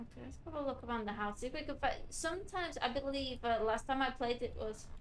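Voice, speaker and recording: Quiet and very fast, a woman speaks at a high pitch with ordinary pitch variation. Room echo can be heard. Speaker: vtuber gamer streamer. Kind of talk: gameplay commentary.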